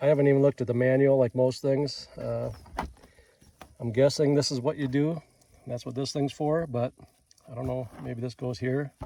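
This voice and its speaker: A man with a Minnesotan accent speaks at medium pitch in a relaxed tone. His intonation is fairly even, with long, frequent pauses. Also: moderate pace. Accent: Minnesota. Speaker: rancher and tool reviewer. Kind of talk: casual product review vlog. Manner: relaxed, rambling with fillers.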